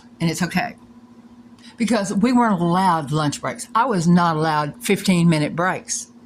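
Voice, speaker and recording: A woman's medium-pitched voice is somewhat breathy, and her intonation is lively. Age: 60s. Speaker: former hotel employee making a complaint video. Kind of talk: personal complaint monologue. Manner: emotional, heated.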